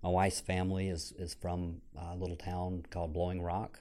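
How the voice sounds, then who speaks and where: This man talks at a moderate pace in a very deep, low voice with a dark, mellow tone and an American accent. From North Carolina, Franklin County. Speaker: financial advisor. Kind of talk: interview.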